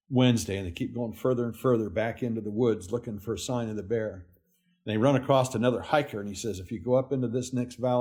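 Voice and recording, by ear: Over a quiet background, someone is reading aloud in a natural voice, intonation fairly even.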